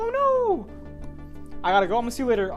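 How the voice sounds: Someone speaks very fast in a put-on character voice. Music plays clearly in the background.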